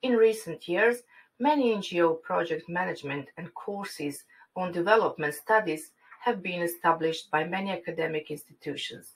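A woman with a Croatian accent, a fairly low pitch, and big swings in loudness. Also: ordinary pitch variation, moderate pace. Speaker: university lecturer. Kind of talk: conference presentation. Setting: online forum. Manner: formal.

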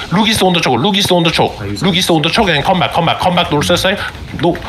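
Fairly quick speech from a man, with noticeable noise in the background. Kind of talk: esports shoutcast / in-game team callouts. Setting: live game voice chat / stream. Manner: rapid-fire, urgent, repeating commands three or four times; intense, commanding, excitable with countdowns.

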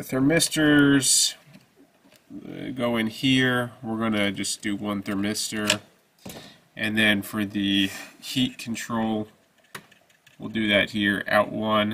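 Very slow speech with long, frequent pauses and fairly even intonation sits over light background noise. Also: man. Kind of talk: tutorial. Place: workshop.

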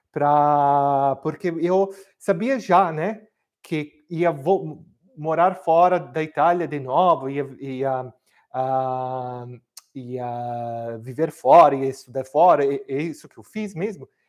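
Speaking very slowly in an Italian accent, a man with a fairly high pitch and ordinary pitch variation swings greatly in loudness. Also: quiet background. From Milan, northern Italy. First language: Italian (speaking Portuguese). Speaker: cooking teacher. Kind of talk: live cooking class. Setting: home kitchen, livestream. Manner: halting, many fillers. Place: kitchen.

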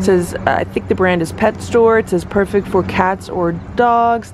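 Noticeable background noise sits behind a woman's voice, and the sound is dry, with no echo. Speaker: pet owner reviewing product. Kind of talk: casual product review narration. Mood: upbeat, pleased. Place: street. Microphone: phone near.

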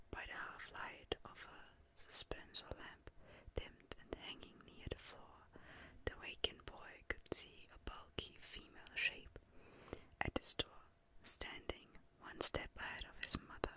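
Whispering and soft-spoken, a woman talks at a fairly slow pace with long, frequent pauses, in a dry sound with no echo over light background noise. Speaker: reader. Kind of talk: soft-spoken book reading. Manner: soft ASMR whisper, reading aloud. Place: home room.

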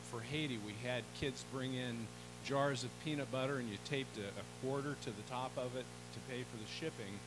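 Music sounds behind the speaker. He is a man, and he goes at a fairly quick pace. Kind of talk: church announcements. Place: church.

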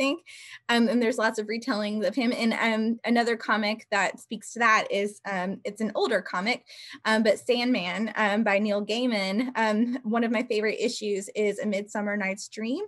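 Moderate pace and fairly even intonation over a quiet background. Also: woman. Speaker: panelist. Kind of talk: panel discussion talk. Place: home room. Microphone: video call.

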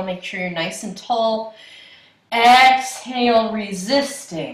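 A woman speaking at a very slow pace amid audible room echo. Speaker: yoga instructor. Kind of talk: class instruction. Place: home room. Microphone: camera far.

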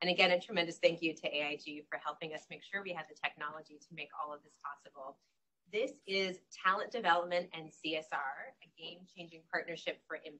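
Talking at a fairly quick pace, a woman shows ordinary pitch variation and big swings in loudness. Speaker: panel moderator. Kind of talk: event moderation introduction. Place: hall. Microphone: handheld.

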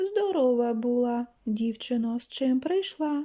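Putting on a character voice, a woman speaks at a fairly slow pace with a high pitch. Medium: read story. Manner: harsh, loud.

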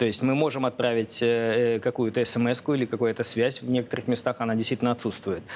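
A man talks at a fairly quick pace with hardly any pauses, in a monotone, flat intonation and very even loudness, over light background noise. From Russia. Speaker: foundation director and researcher. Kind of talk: TV interview. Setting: TV studio. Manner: hesitant, with frequent filler sounds. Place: studio. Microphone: lapel.

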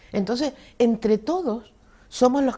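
Somewhat breathy and dark and mellow in tone, a woman talks at a moderate pace. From Canary Islands, Telde (Gran Canaria); Canary Islands, Spain. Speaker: retired secondary school teacher and former head; retired secondary school teacher. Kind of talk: interview. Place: studio. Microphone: lapel.

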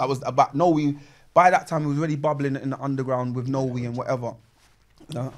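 A man talks at a very fast pace in a monotone, flat intonation. The background is quiet. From London, Peckham; London. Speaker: MC, grime pioneer; MC. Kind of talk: casual chat. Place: home room. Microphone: studio mic.

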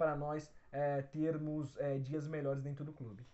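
The speaker is a man. He talks at a moderate pace. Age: 20s. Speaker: football fan channel host. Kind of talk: solo Q&A video answering viewer questions. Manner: casual, with frequent fillers. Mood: relaxed, smiling. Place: home room. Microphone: phone near.

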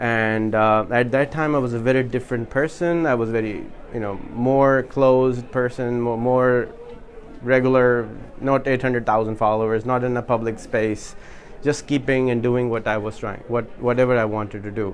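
A man with a Pakistani accent talks at a moderate pace, medium in pitch. His intonation is fairly even, and there is noticeable background noise. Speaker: social media entrepreneur and workshop speaker. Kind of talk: workshop talk. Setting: in-person meetup with live audience.

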